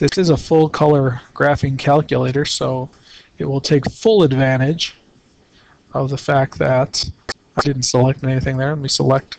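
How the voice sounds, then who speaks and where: Using a normal speaking voice, a man of medium pitch talks at a moderate pace with fairly even intonation. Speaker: calculator tutorial presenter. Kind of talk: tutorial.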